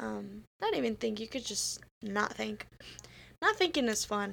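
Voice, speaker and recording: A woman speaking at a fairly slow pace. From immigrant to the US. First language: not English. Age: 20s. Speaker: student podcast co-host. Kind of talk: casual chat.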